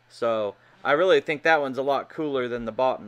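A man speaks at a moderate pace with ordinary pitch variation. His tone is bright and sharp. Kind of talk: casual vlog commentary. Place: workshop. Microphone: phone near.

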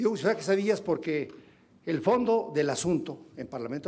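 Fairly quick speech in a dark, mellow tone, its pitch varying in an ordinary way. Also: man. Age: 60s. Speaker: legislator. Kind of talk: parliamentary speech. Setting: parliamentary forum. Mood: critical, pointed. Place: hall. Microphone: podium.

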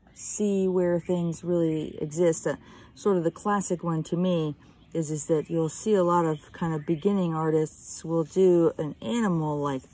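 In a calm tone, a woman speaks at a fairly low pitch with a dark, mellow tone and a dry sound with no echo. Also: ordinary pitch variation, fairly slow pace. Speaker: art teacher. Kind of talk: drawing tutorial. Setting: outdoors. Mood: calm, relaxed. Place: garden. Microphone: phone near.

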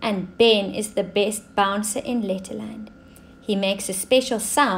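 With fairly even intonation, the reading voice sounds natural.

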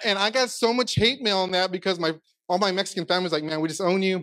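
A man with an American accent, high-pitched, with ordinary pitch variation over a quiet background. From Texas. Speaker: pastor. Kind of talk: sermon. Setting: stage with audience. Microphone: handheld.

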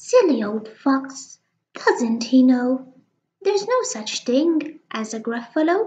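A woman puts on a character voice with a high pitch and delivers it at a fairly slow pace. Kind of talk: children's picture book reading. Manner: cheeky, boastful, confident.

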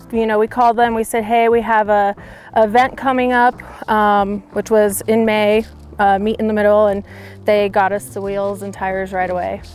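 Over light background noise, a woman speaks at a moderate pace with fairly even intonation in a dry sound with no echo. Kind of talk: interview answer. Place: open country.

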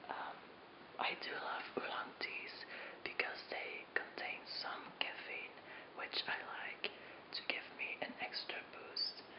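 Someone whispers at a very slow pace. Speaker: tea video host. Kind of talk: ASMR tea-making video, casual talk to camera. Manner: whispered. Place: home room.

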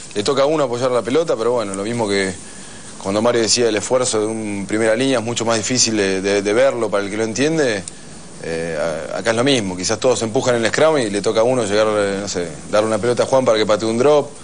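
Over light background noise, a man talks at a very fast pace with a medium pitch and ordinary pitch variation. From Argentina. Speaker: rugby player; guest. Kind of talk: TV interview. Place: studio. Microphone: lapel.

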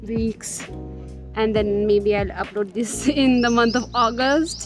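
Over clear background music, a woman talks at a fairly slow pace with ordinary pitch variation in a dry sound that has no echo. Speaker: vlogger. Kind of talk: casual vlog chat. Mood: reflective, lightly self-deprecating. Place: garden. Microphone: phone near.

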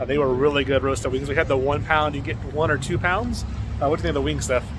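Dry sound with no echo, over noticeable background noise. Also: man. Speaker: food vlogger. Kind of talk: casual vlog chat. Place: street. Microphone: phone near.

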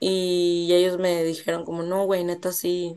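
A woman speaks in a fairly low, dark, mellow voice with monotone, flat intonation against a quiet background. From northern Mexico, Monterrey; northern Mexico. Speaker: actress; interview guest, actress. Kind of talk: interview. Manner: casual, slangy. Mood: casual, candid, slangy. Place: home room. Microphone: video call.

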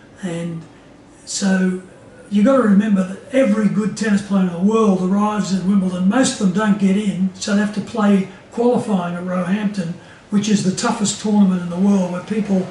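A man speaks at a fairly quick pace in a high pitch, his intonation monotone and flat. Light background noise and audible room echo are present. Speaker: interviewee. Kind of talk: interview answer. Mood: amused, relaxed. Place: home room.

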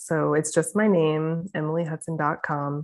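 Over a quiet background, a woman speaks at a very deep, low pitch. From St. Louis, Missouri; Missouri. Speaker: naturopathic doctor; interview guest. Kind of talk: casual interview. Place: home room. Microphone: video call.

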